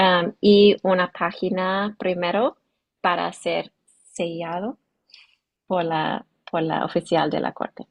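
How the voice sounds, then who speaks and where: A woman with an English accent speaks at a very slow pace. Her voice is medium in pitch with ordinary pitch variation. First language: English (speaking Spanish). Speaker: immigration lawyer. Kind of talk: legal workshop Q&A. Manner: halting, searching for words.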